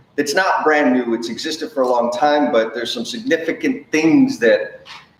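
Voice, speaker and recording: A man with an American accent, a fairly high pitch, and very wide pitch swings at a moderate pace amid noticeable background noise. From Texas, San Antonio. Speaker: construction improvement consultant, former plumber. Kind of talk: live stream presentation. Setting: live stream. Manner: animated, casual.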